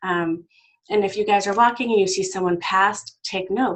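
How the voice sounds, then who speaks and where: A woman's voice at a medium pitch. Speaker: personal safety educator. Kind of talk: talk. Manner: fast.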